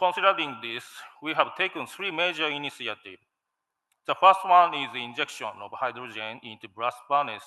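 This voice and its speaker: Speaking with a Japanese accent, a man uses lively intonation, a fairly quick pace and a fairly high pitch, with big swings in loudness. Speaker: steel company manager. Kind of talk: conference presentation. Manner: halting, many fillers.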